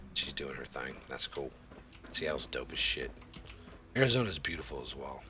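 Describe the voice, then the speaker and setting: With noticeable noise behind him, a man talks at a moderate pace, pausing often and at length. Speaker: video game streamer. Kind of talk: casual live stream chat. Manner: slurred speech.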